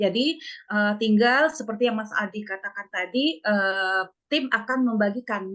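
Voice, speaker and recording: The speaker has a Sumatran accent. Pitch variation is ordinary. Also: woman. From West Sumatra. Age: 40s. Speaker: nursing exam tutor. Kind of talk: online lecture. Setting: video call.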